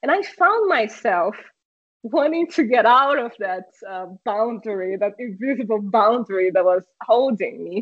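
With a Portuguese accent, a woman speaks at a fairly slow pace in a fairly high pitch, her intonation lively. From Brazil. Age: 30s. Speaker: streamer and car community product manager. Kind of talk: casual interview chat. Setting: video call.

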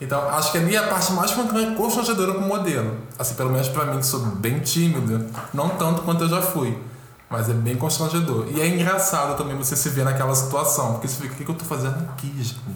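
Over noticeable background noise and audible room echo, a man with a Carioca accent talks at a very fast pace, his fairly high pitch carrying lively intonation. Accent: carioca Brazilian Portuguese. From Rio de Janeiro, Brazil. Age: 20s. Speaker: fashion model. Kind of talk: casual chat.

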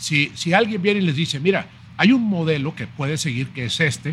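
A man talks at a fairly quick pace in an ordinary speaking voice. His pitch variation is ordinary. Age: 50s. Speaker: chef and writer. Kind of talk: casual interview.

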